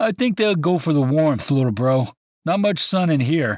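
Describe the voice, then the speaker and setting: A man's put-on character voice, fairly high, with very wide pitch swings, very even loudness and a dry, close sound with no echo. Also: moderate pace. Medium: read story. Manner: cocky, joking.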